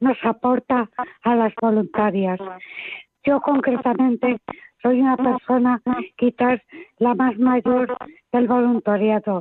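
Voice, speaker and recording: Her high pitch holds a monotone, flat intonation as a woman speaks at a very slow pace. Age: 80s+. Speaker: caller, charity volunteer. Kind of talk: testimony.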